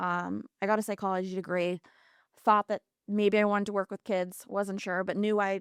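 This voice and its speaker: Speaking in an American accent, a woman with a normal speaking voice and medium pitch talks at a moderate pace with fairly even intonation, in a very clean recording with a silent background. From Massachusetts, US. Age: 30s. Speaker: aesthetician and makeup artist, mental health advocate. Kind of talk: podcast interview, personal testimony.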